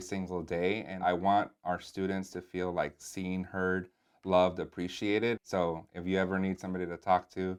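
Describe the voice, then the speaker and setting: A man speaks with a Spanish accent. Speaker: assistant principal. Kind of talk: interview. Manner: casual, with fillers.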